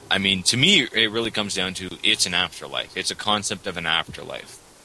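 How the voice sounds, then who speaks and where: With a Canadian accent, a man speaks in a fairly low voice with fairly even intonation. Background noise is noticeable. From Canada. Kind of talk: casual debate chat on religion.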